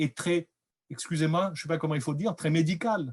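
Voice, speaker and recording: The recording of this man is dry and close with no echo, over a quiet background, and his pitch varies in an ordinary way. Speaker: researcher presenting findings. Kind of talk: lecture. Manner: loud; hesitant.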